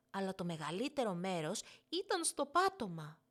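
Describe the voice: A woman with big pitch swings on a very clean recording with a silent background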